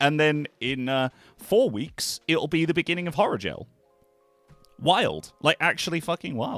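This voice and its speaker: A man with a fairly high pitch talks at a moderate pace with lively intonation. The sound is dry and close with no echo, and music plays in the background. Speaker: gaming streamer. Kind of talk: casual livestream chat. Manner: filler-heavy, relaxed.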